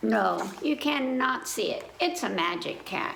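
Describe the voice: Putting on a character voice, a woman speaks fairly high for a woman at a fairly slow pace, with lively intonation, vocal fry and audible room echo. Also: fairly bright tone.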